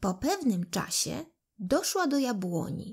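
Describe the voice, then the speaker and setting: A woman's somewhat breathy, gentle-toned voice, very slow, with very wide pitch swings. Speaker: audiobook narrator. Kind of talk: bedtime fairy tale read aloud to children. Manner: gentle, unhurried storytelling pace; voices characters expressively, like the pleading loaves and apples.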